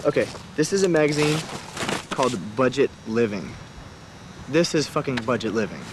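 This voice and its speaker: A man with a fairly high pitch speaks with long, frequent pauses. Background noise is noticeable. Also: lively intonation, moderate pace. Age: 20s. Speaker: dumpster diver. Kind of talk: documentary interview.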